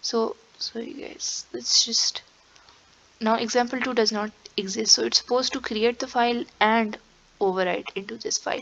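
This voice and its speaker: A woman speaks at a moderate pace with a fairly high pitch and ordinary pitch variation. She takes long, frequent pauses, and there is noticeable background noise. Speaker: programming tutor. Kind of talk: tutorial. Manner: casual, with fillers.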